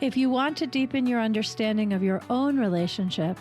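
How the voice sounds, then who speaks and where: The voice has ordinary pitch variation, with music in the background. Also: woman. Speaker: physician and intimacy coach. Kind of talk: podcast intro.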